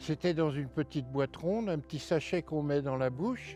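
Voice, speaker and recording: Over a quiet background, a man with a dark, mellow tone speaks at a moderate pace and fairly high pitch, with ordinary pitch variation and a dry, close sound with no echo. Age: 70s. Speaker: retired heating fitter, ex-smoker interviewee. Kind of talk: interview testimony. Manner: halting.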